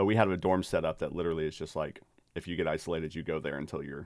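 Captured in a very clean recording with a silent background, a man talks very fast in a very deep, low pitch. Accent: American. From Texas, Dallas-Fort Worth. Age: 30s. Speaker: podcast host, theologian. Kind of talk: casual chat.

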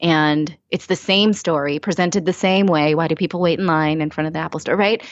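A woman speaks in a plain, everyday voice, fairly low in pitch, with fairly even intonation. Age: 30s. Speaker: former network news anchor, personal finance speaker. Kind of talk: interview.

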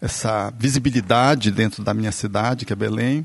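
This is a man with a normal speaking voice and medium pitch. He keeps a moderate pace and fairly even intonation. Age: 50s. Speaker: physician, therapist and spiritist speaker. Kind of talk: casual chat.

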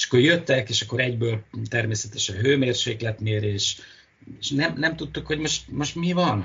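At a moderate pace, a man speaks with medium pitch and lively intonation. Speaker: marine biologist. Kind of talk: interview. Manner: halting.

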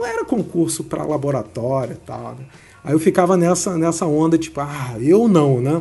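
A man speaks at a moderate pace with a fairly high pitch and ordinary pitch variation. His loudness swings widely, and there is noticeable background noise. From Rio de Janeiro. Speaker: biomedical scientist and exam-prep teacher. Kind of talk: interview.

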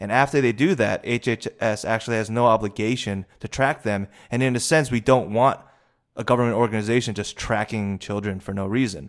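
On a very clean recording with a silent background, a man with an American accent talks in a plain, everyday voice at a medium pitch, a fairly quick pace and fairly even intonation. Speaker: podcast co-host. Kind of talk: casual discussion.

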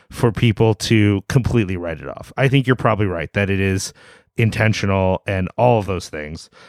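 In a normal speaking voice, a man talks at a moderate pace and fairly low pitch, with a dry, close sound and no echo. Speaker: podcast host, website editor. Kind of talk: casual chat.

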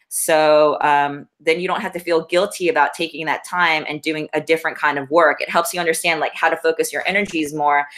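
A woman speaks in a very deep, low voice at a fairly quick pace. She hardly pauses at all. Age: 40s. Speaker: shoe company founder and astrologer. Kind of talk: casual chat. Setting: in person at home.

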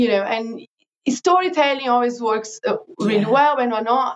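A woman with a Portuguese accent talks at a moderate pace. Her pitch is fairly high and her intonation lively. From Brazil. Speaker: digital marketing consultant. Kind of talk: interview.

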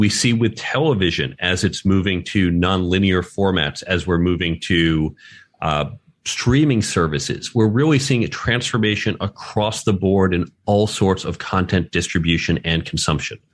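A man with an American accent speaks at a moderate pace with a very deep, low pitch and ordinary pitch variation. His loudness stays very even against a quiet background. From New York. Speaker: author and career educator. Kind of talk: interview. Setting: remote podcast recording.

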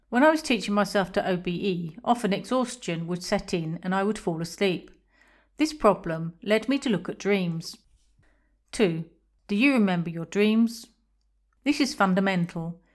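With an English accent, a woman at a medium pitch uses lively intonation and long, frequent pauses in a very clean recording with a silent background. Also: moderate pace. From England. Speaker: podcaster on astral projection. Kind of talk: scripted narration.

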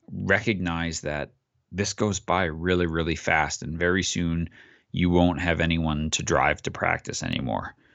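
With an American accent, a man talks in a very deep, low voice using fairly even intonation. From US Northeast, Long Island. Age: 40s. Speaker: youth soccer coach and author. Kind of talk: podcast interview.

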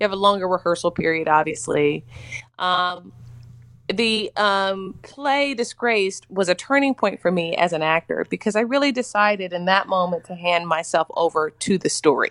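Over a quiet background, a woman with a plain, everyday voice talks at a moderate pace and medium pitch, her intonation lively. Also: dry, close sound with no echo. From US South, Mississippi. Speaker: actress. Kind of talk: interview.

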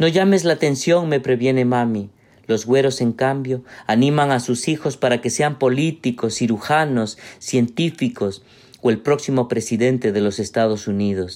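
In a very clean recording with a silent background, a normal speaking voice moves at a moderate pace with ordinary pitch variation and very even loudness. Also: man, medium pitch for a man. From Peru. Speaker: writer and literature professor. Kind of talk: reading aloud.

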